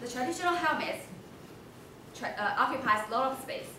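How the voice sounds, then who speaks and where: Over noticeable background noise and audible room echo, a woman uses a raised, projected voice at a moderate pace. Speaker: presenter. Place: hall. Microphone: camera far.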